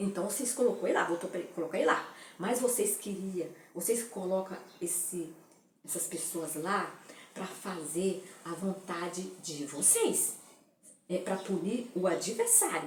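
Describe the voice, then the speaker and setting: Long, frequent pauses break up speech at a fairly slow pace. Noticeable background noise and audible room echo are present. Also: woman, medium pitch for a woman, ordinary pitch variation. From Brazil. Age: 60s. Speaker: political commentator. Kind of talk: opinion monologue.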